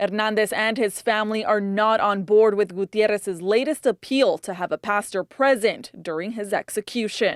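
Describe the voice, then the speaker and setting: A woman has an ordinary speaking voice, fairly high in pitch with ordinary pitch variation, at a moderate pace and with hardly any pauses. The sound is dry and close with no echo, in a very clean recording with a silent background. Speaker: TV news reporter and anchor. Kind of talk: TV news report.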